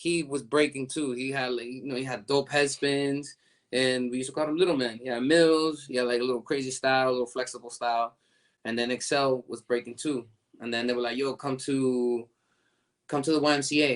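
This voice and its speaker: At a fairly quick pace, a man speaks at a medium pitch with monotone, flat intonation. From US Northeast (New York and Lynn, Massachusetts), Dominican family. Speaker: breakdancer. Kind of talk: interview. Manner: casual, filler-heavy, repetitive.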